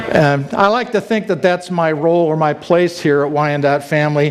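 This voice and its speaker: Over noticeable background noise, a man with a fairly high pitch speaks with fairly even intonation. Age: 60s. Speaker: church staff member giving testimony. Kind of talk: testimony. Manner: rambling with fillers and false starts.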